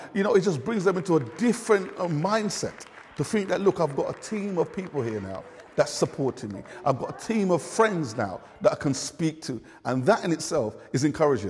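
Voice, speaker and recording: Against crowd noise, a man with a London accent talks fairly quickly in a high voice that makes very wide pitch swings. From London (Hackney). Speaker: community learning volunteer. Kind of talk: interview.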